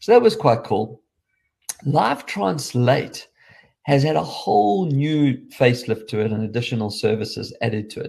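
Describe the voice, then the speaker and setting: A man talks at a moderate pace in a medium pitch, somewhat breathy, with ordinary pitch variation. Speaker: tech show host. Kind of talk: solo tech review podcast. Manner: casual, conversational.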